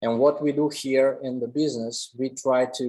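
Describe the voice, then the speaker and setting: A man with a Russian accent at a fairly slow pace and fairly even intonation. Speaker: commercial photographer. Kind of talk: lecture.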